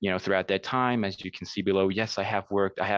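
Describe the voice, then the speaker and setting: Over a quiet background, a man speaks in a New Jersey accent at a fairly low pitch. The sound is dry and close, with no echo. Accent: American, New Jersey. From US Northeast (New Jersey). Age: 30s. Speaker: language teacher. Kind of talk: conference presentation. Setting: virtual conference call. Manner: hesitant, many fillers; hurried.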